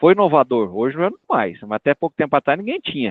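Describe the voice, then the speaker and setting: A man talks at a very fast pace. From Brazil, Minas Gerais/Goiás (Catalão). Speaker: animal nutrition industry expert. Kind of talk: career talk interview. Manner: casual, conversational.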